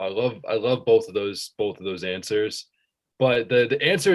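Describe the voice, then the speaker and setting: A man with an American accent, medium pitch and an unremarkable speaking voice. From central Massachusetts. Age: 20s. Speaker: student and sports fan. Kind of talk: casual chat.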